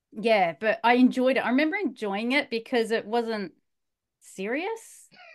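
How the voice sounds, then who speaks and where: With an Australian accent, a woman speaks in lively intonation. The background is quiet. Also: fairly high pitch for a woman, moderate pace. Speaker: bedtime story podcast host. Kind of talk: casual chat.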